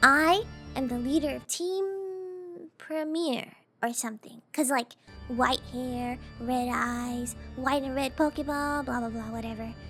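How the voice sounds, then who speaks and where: Over music in the background, a woman with a high pitch and ordinary pitch variation speaks at a fairly slow pace in an upbeat, playful tone. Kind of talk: casual gaming commentary.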